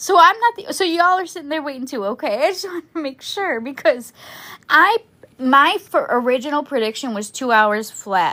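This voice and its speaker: Nervous in tone, a woman with a high pitch and a bright, sharp tone speaks in a raised, projected voice at a moderate pace, with very wide pitch swings and big swings in loudness, on a very clean recording with a silent background. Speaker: true crime livestream host. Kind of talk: casual livestream chat. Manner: chatty, halting; nervous voice.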